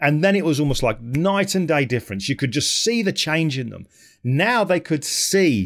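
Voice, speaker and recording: Against a quiet background, a man talks at a moderate pace with very wide pitch swings. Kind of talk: talk to camera about his work. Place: home room. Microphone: studio mic.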